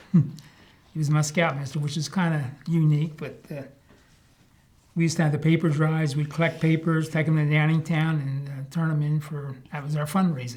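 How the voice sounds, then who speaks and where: In an American accent, a man talks at a moderate pace, somewhat breathy, with monotone, flat intonation. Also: fairly high pitch for a man. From Marshallton, Pennsylvania. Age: old. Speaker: longtime village resident, oral history interviewee. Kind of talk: oral history interview answer.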